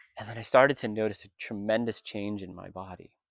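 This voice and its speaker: A flat, monotone delivery at a moderate pace over a quiet background. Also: man. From US, Vietnamese American. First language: Vietnamese. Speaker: retreat participant. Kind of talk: testimony. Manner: reflective, emotional.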